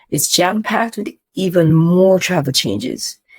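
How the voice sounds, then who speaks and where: This woman has an animated tone and lively intonation. She speaks at a moderate pace in a medium pitch. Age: 60s. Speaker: travel vlogger. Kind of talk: direct-to-camera vlog with product pitch.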